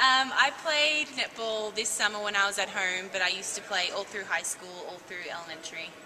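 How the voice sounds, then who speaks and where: Over noticeable background noise, a medium-pitched woman talks fairly quickly with hardly any pauses, lively intonation and big swings in loudness. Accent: Australian. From Australia, Langwarrin near Melbourne. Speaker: college basketball player. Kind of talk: interview.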